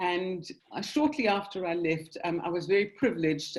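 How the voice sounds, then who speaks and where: This woman, with a South African accent and a fairly low pitch, speaks at a moderate pace with ordinary pitch variation. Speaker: synagogue general manager. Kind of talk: interview. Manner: hesitant, many ums.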